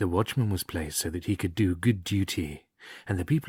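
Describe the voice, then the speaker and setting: A man with an English accent, somewhat breathy, fairly quick and lively in intonation, on a very clean, dry, close recording with a silent background and no echo. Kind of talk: story reading for relaxation. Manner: soft-spoken.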